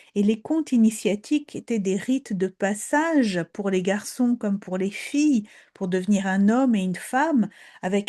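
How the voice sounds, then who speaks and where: A dark, mellow, somewhat breathy voice in a Polish accent, fairly slow, with ordinary pitch variation, against a quiet background. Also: woman. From Poland. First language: Polish (speaking French). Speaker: storyteller. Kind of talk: talk on fairy tales. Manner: hesitant, repeats words.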